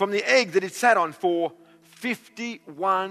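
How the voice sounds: The pitch variation is ordinary. It is a natural reading voice.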